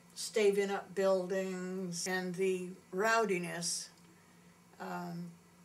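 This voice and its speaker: Audible room echo carries a woman's medium-pitched, monotone voice as she speaks at a very slow pace with long, frequent pauses. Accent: American. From Maine, US (Bar Harbor). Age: 70s. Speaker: local resident. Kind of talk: interview. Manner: halting.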